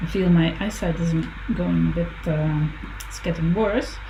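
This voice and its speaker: A woman mumbling, with audible room echo and noticeable background noise. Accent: Dutch. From Netherlands. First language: Dutch. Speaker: visual artist. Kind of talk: casual chat while drawing. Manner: halting.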